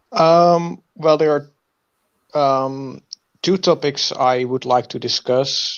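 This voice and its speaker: Speaking at a very slow pace with a non-native accent, the voice shows ordinary pitch variation. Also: man, fairly high pitch for a man. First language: not English. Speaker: viewer seeking tutoring. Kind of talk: casual conversation, video meeting. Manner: halting, many fillers.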